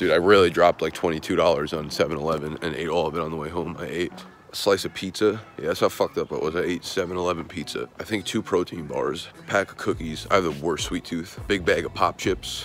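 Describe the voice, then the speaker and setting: Over light background noise, a man talks at a fairly quick pace with a very deep, low pitch, fairly even intonation and dry sound with no echo. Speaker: vlogger. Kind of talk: casual vlog chat. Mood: hungover, rueful, chatty. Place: street. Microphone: phone near.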